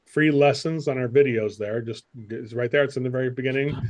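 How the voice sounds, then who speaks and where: At a fairly high pitch, a man talks in a normal speaking voice with fairly even intonation. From United States. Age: 60s. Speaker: sales coach. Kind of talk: interview.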